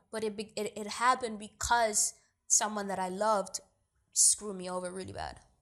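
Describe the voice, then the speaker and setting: A woman with a New York accent talks at a fairly quick pace in an animated tone, her pitch fairly high and her loudness swinging widely. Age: 20s. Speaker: actor and producer. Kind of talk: interview.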